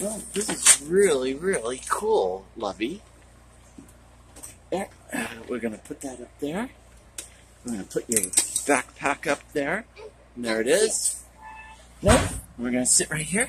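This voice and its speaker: The speaker goes at a fairly slow pace with long, frequent pauses. The sound is dry with no echo, but there is noticeable background noise. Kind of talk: casual talk to a child. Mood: warm, cheerful, coaxing. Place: train. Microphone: phone near.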